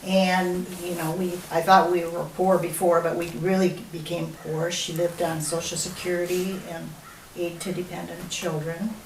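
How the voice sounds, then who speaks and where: A woman's fairly low, monotone, flat voice in a Minnesota accent, with noticeable background noise and audible room echo. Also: moderate pace. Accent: Upper Midwest (Minnesota) American. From Minnesota, Minneapolis area. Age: 70s. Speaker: grandmother interviewed for school project. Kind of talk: oral history interview. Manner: casual, hesitant with many fillers.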